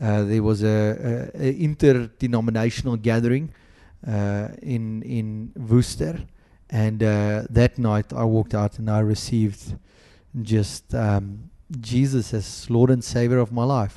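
A man with a South African accent speaks at a medium pitch and a fairly slow pace. His tone is dark and mellow, with ordinary pitch variation. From South Africa, Western Cape (Boland). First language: Afrikaans. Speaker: pastor. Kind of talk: interview. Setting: podcast recording.

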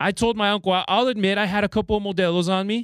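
An animated tone at a fairly quick pace, in a dry, close sound with no echo on a very clean recording with a silent background. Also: man. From Los Angeles area and Mexico. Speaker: guest radio host, Spanish-language sports announcer. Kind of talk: sports talk radio.

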